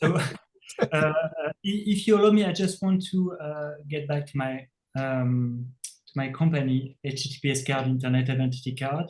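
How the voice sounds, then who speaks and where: With a French accent, the speaker keeps a moderate pace and ordinary pitch variation. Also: man, fairly high pitch for a man. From France. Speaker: tech company CEO. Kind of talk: interview. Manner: halting, many fillers.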